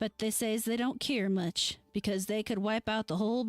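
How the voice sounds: Fairly even intonation in a natural reading voice.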